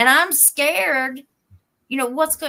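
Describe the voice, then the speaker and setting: A woman with an Appalachian accent speaks in a bright, sharp tone at a moderate pace. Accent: Appalachian Kentucky. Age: 40s. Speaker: youtube crime channel host. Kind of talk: live stream chat. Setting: live stream.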